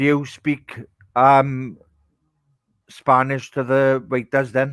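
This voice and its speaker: With a strong Welsh accent, a man speaks very slowly at a medium pitch. His intonation is monotone and flat. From Wales. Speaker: podcast co-host. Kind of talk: casual chat.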